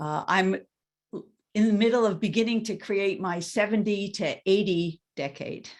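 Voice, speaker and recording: A woman uses an ordinary speaking voice at a medium pitch. Her pace is moderate and her intonation fairly even. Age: 60s. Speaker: coach. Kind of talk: webinar introduction.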